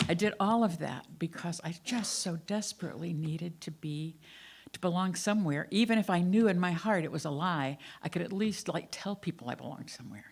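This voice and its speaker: The speaker has an American accent and a somewhat breathy voice, moving at a fairly quick pace with ordinary pitch variation and big swings in loudness. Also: woman, fairly low pitch for a woman. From US South. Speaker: minister. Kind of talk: sermon. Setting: church.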